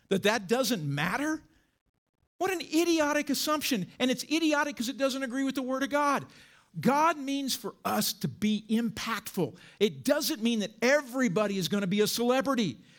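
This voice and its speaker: A man speaks with an extremely high pitch. His intonation is lively, and his pace is moderate. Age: 60s. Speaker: pastor. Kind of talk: sermon.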